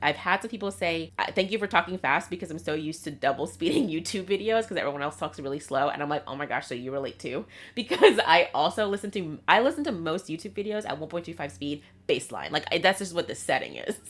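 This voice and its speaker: A woman's fairly low voice with lively intonation, a very fast pace and hardly any pauses, on a very clean recording with a silent background. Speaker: writer and YouTuber. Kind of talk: casual vlog talk. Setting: home video filming.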